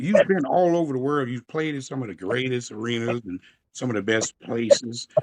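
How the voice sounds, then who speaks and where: A man is speaking. He moves at a fairly quick pace. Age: 60s. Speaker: interviewer and amateur saxophonist. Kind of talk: interview. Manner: animated.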